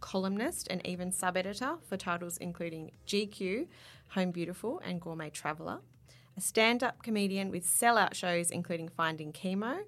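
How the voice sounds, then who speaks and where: This woman has an Australian accent and speaks at a moderate pace and a medium pitch with ordinary pitch variation. The recording is very clean, with a silent background. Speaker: magazine editor and podcast host. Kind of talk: casual chat. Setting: studio.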